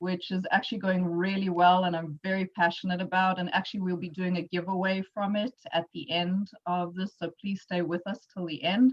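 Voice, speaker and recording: With a South African accent, a woman speaks at a moderate pace with hardly any pauses. Her medium pitch is monotone and flat, in a dry, close sound with no echo. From South Africa, Johannesburg. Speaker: entrepreneur and workshop presenter. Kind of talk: workshop presentation. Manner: casual with frequent fillers.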